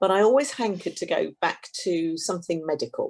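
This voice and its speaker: Here a woman talks at a moderate pace. She has a southern British accent. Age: 60s. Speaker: complementary therapist. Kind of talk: interview.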